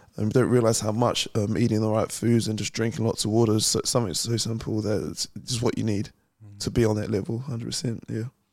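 Talking very fast with hardly any pauses, a man with a New Zealand accent holds a medium pitch and fairly even intonation. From New Zealand (West Auckland), born in London. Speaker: professional boxer. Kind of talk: interview.

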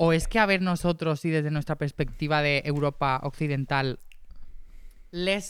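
A man talks at a moderate pace in a plain, everyday voice, fairly high in pitch with fairly even intonation. The recording is very clean, with a silent background. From Spain, Torrent (Valencia). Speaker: musician and producer. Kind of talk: casual chat.

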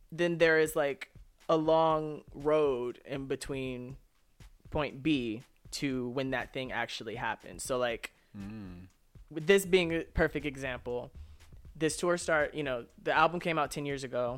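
Music plays in the background as a man with an American accent speaks. He keeps a fairly slow pace and a fairly high pitch. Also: ordinary pitch variation. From Los Angeles. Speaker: singer. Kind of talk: casual chat.

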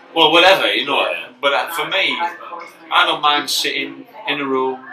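A man with a northern English accent speaks with ordinary pitch variation over noticeable background noise. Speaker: comedian. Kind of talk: casual chat.

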